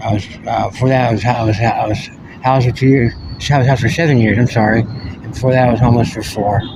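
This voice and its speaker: A man talks at a very fast pace with fairly even intonation. Background noise is noticeable. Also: medium pitch for a man. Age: 40s. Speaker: homeless military veteran. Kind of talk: interview. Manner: halting.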